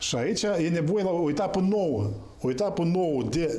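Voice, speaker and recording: Audible room echo surrounds a man who speaks in a fairly high pitch with lively intonation. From Moldova. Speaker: political analyst. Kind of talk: political talk show debate. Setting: TV studio. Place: studio.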